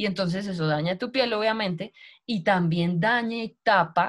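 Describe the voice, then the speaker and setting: Somewhat breathy, a woman speaks against a quiet background. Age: 30s. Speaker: network marketing recruiter; sales team leader presenting. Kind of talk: sales pitch. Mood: warm, motivational. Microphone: video call.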